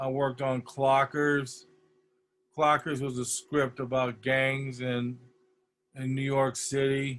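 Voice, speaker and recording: Pausing long and often, a man speaks at a very slow pace in a monotone, flat delivery at medium pitch. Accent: American. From US Midwest (Detroit, Michigan). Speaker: poster designer, art director. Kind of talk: lecture. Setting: video call.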